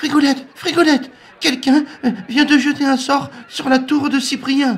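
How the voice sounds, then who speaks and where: Putting on a character voice at an extremely high pitch, a man sounds anxious while speaking at a moderate pace. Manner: anxious, whimpering.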